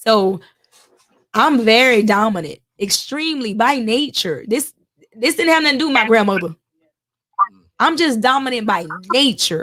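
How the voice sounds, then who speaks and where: A woman speaks at a moderate pace with a bright, sharp tone and very even loudness. Her fairly high pitch swings very widely, broken by long, frequent pauses. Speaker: panel guest. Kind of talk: casual chat.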